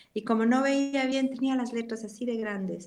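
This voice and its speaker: Fairly even intonation from a normal speaking voice, moving at a moderate pace. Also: woman. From Ecuador, Cuenca. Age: 60s. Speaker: pastor. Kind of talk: interview.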